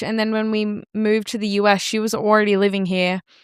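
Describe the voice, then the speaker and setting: In a very clean recording with a silent background and a dry, close sound with no echo, a woman with an Australian accent talks very fast at a fairly high pitch. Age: 30s. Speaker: photographer and content creator. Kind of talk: casual chat.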